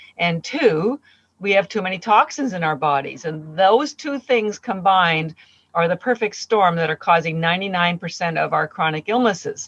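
A woman speaks in a normal speaking voice at medium pitch and a moderate pace, with lively intonation and a dry, close sound with no echo. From Canada. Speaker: company founder. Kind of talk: interview.

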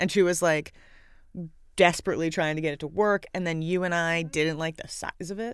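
On a very clean recording with a silent background, a woman with an unremarkable speaking voice talks fairly low with fairly even intonation. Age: 30s. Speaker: screenwriter. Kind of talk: casual film commentary chat.

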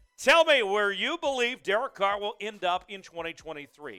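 A man with a high pitch and a raised, projected voice sounds bright, sharp and animated, the sound dry and close with no echo on a very clean recording with a silent background. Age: 20s. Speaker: sports show host. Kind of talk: live stream sports talk.

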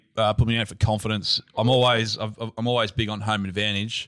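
On a very clean recording with a silent background, a man speaks at a fairly low pitch with an Australian accent. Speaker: betting market analyst. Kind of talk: casual sports betting chat.

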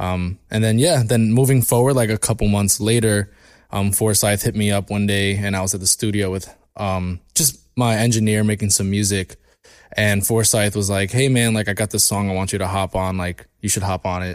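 This is a man with a normal speaking voice, fairly low in pitch, talking at a moderate pace with fairly even intonation. The recording is very clean over a silent background. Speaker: musician. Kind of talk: casual chat.

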